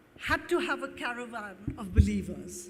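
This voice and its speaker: A woman's voice with audible room echo. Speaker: award recipient, qualitative market researcher. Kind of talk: acceptance speech. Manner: reading from a prepared text.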